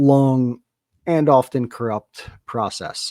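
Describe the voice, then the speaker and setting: With a New Jersey accent and a dark, mellow tone, a man speaks with ordinary pitch variation in a dry, close sound with no echo. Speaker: podcast co-host. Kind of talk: casual chat.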